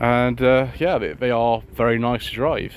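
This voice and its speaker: Mumbling at a fairly slow pace, a man speaks with an English accent. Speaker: car vlogger. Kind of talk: casual walkaround commentary. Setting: outdoors at a car show.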